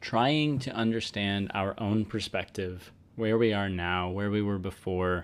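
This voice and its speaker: A man talks at a fairly slow pace in a normal speaking voice with a fairly low pitch. The recording is very clean, with a silent background. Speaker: podcast host. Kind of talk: solo monologue.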